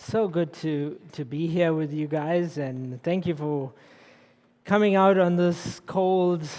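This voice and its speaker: Very slow and fairly even in intonation, the voice has a dark, mellow tone and a South African accent. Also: man. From South Africa, Durban. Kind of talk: public lecture.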